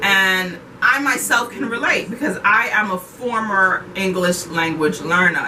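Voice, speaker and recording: A woman with a Haitian-inflected New York accent speaks at a moderate pace and medium pitch. There is audible room echo and noticeable background noise. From Haiti, then East Flatbush, Brooklyn. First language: Haitian Creole. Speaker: ESL school teacher. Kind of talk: casual interview.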